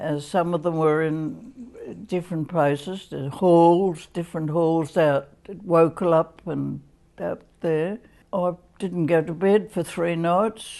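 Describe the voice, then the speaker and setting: With an Australian accent, a woman speaks at a very slow pace in a dark, mellow tone with fairly even intonation. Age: 80s+. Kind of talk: interview answer.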